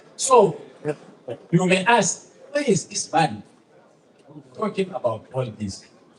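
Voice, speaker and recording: Over noticeable background noise, a man speaks at a very slow pace with long, frequent pauses. His pitch is high, with very wide swings. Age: 70s. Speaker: political speaker. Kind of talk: public speech.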